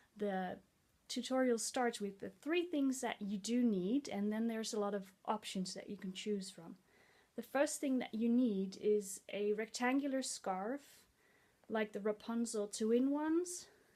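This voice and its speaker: A woman's fairly high voice with a dark, mellow tone, in a Dutch accent at a fairly slow pace. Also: ordinary pitch variation. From Netherlands. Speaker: head-wrap tutorial vlogger. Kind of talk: tutorial.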